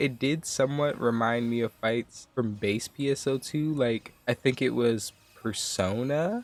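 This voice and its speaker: A man is speaking with ordinary pitch variation. Noticeable background noise is present. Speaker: gaming YouTuber. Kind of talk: casual gaming commentary.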